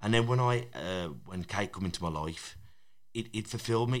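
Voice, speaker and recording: In a normal speaking voice, a man talks at a fairly low pitch with ordinary pitch variation. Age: 30s. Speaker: boxing coach and podcaster. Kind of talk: casual chat.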